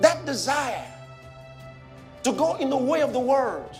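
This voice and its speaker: A man at a fairly slow pace and an extremely high pitch, with music in the background. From Nigeria. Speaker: pastor. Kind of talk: sermon.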